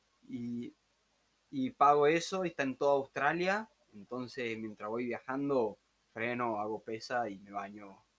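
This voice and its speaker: Big swings in loudness and ordinary pitch variation, with a Tucumán accent. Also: man, medium pitch for a man. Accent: Tucumán Argentine Spanish (voseo). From Argentina, Tucumán. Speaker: backpacker, former court employee. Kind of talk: casual chat. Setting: room with open door, weak internet.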